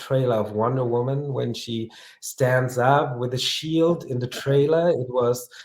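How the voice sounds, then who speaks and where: Using fairly even intonation and a medium pitch, a man with a non-native accent talks at a fairly slow pace. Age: 30s. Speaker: collector. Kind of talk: interview. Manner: halting.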